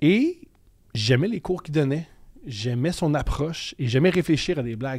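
Pitch varies in an ordinary way at a moderate pace. The background is quiet. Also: man. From Quebec, Montreal. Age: 30s. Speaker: comedian. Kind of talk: casual chat. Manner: loud, intense. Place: studio. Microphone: studio mic.

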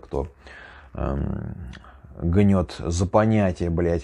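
Against a quiet background, a man speaks with a very deep, low pitch and a dark, mellow tone. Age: 30s. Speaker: YouTuber, former prisoner. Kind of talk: casual monologue storytelling. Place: home room.

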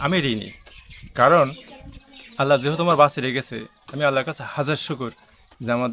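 A man's unremarkable speaking voice, fairly high in pitch, with fairly even intonation. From Bangladesh, Chuadanga district. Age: 50s. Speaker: blind electrician and mechanic. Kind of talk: interview.

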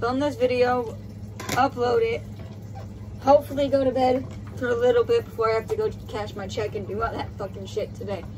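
A woman speaks at a fairly quick pace with an American accent. Noticeable background noise runs behind her. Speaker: vlogger. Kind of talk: casual rant. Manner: irritated, profane, fast-paced. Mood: frustrated, angry about work. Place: home room. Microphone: phone near.

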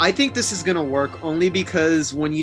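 A man speaks at a moderate pace with ordinary pitch variation. Faint music plays in the background. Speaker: podcast co-host. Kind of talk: reading horror news and giving commentary. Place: home room. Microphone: webcam.

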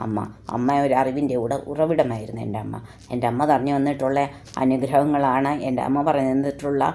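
A woman speaks with a very deep, low pitch and fairly even intonation. Audible room echo surrounds her voice. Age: 60s. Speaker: lay preacher. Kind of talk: sermon. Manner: halting.

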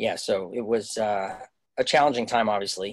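A man speaks with a Canadian accent at a moderate pace. The background is quiet. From Canada. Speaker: Broadway actor. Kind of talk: casual interview. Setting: video call. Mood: sombre, reflective. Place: home room. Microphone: video call.

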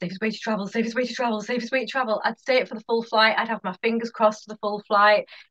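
With hardly any pauses, a woman speaks in a fairly high, bright, sharp voice and monotone, flat intonation over a quiet background. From northeast England, Hartlepool; northeast England. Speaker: hypnotherapist; podcast guest. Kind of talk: casual interview chat. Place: home room. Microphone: headset.

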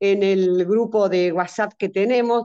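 A woman speaks at a fairly slow pace with fairly even intonation and a dark, mellow tone. The background is quiet. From Argentina, Entre Ríos; Argentina. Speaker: senior group leader. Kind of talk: workshop question. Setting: video call. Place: home room. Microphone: video call.

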